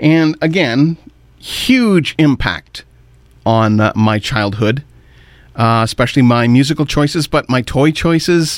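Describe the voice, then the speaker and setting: A man with a Canadian accent and a normal speaking voice talks at a fairly slow pace in a fairly high pitch, with lively intonation and very even loudness. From Ontario, Canada. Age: 50s. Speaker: radio host. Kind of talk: radio show commentary.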